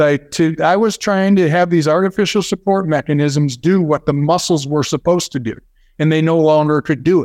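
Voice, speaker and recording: Against a quiet background, a man speaks at a fairly quick pace with ordinary pitch variation. He has an unremarkable speaking voice. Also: fairly high pitch for a man, dry, close sound with no echo. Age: 50s. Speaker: neuromuscular therapy founder. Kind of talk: interview.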